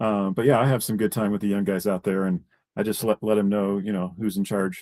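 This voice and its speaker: A dark, mellow tone at a fairly quick pace, monotone and flat, on a very clean, dry, close recording with no echo and a silent background. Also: man, fairly low pitch for a man. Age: 50s. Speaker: live stream host, roofer. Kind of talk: casual chat. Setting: live stream.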